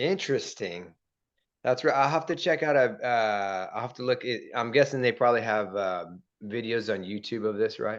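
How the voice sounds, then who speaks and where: At a moderate pace, a man with a plain, everyday voice speaks at medium pitch with ordinary pitch variation over a quiet background. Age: 40s. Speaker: podcast host and real estate agent. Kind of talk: casual interview chat.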